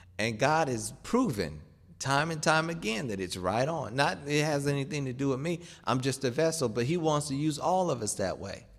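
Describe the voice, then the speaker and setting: A man talks at a moderate pace, and audible room echo follows his words. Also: fairly high pitch for a man, lively intonation. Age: 30s. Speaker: preacher. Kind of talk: sermon.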